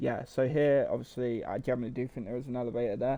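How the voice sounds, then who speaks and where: At a medium pitch, a man with an East Midlands accent speaks in a dark, mellow tone with fairly even intonation. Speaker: gaming YouTuber. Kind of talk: casual game walkthrough commentary. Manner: hesitant, many fillers.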